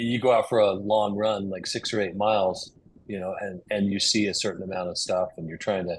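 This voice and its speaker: The man's pitch sits fairly low. His intonation stays monotone and flat. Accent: American. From Utah, USA. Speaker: cyclist, flooring business owner. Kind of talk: podcast interview answer.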